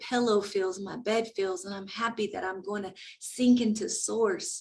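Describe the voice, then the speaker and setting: Somewhat breathy delivery at a moderate pace. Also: woman. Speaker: podcast host and emotional coach. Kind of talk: motivational talk. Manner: animated.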